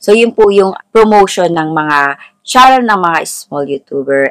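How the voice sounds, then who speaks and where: Over a quiet background, a woman talks at a fairly slow pace, her pitch swinging very widely. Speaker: lifestyle vlogger. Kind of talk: casual vlog intro before a tutorial.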